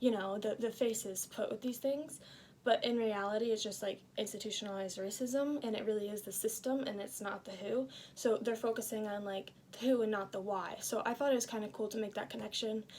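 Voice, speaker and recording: Speaking at a fairly quick pace, a woman has an unremarkable speaking voice, fairly high in pitch, with fairly even intonation. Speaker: student. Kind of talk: casual book review. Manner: casual with many fillers.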